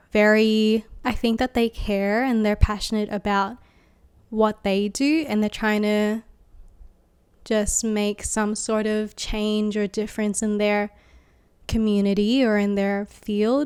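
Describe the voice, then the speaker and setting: In an Australian accent, the speaker goes at a very slow pace with monotone, flat intonation, on a very clean recording with a silent background. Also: woman, fairly high pitch for a woman. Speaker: graphic designer and vlogger. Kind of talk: casual vlog monologue. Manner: hesitant, many fillers; voice may shake.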